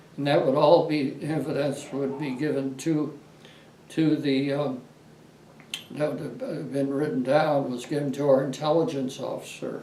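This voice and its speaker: With an American accent, a man talks at a fairly slow pace in a fairly high pitch and a flat monotone, with noticeable background noise behind him. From Los Angeles, California. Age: 80s+. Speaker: war veteran. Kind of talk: interview answer.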